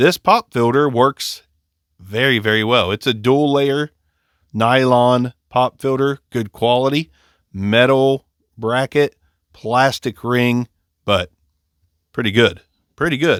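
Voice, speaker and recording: A man with a Southern Appalachian accent at a medium pitch and a very slow pace, with ordinary pitch variation and long, frequent pauses, in a dry, close sound with no echo on a very clean recording with a silent background. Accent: Southern Appalachian twang. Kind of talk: casual product review.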